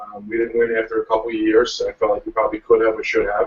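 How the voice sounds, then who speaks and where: Fairly quick speech from a man with a Long Island accent. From US Northeast, Long Island, New York. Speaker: professional lacrosse player. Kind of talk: interview. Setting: video call.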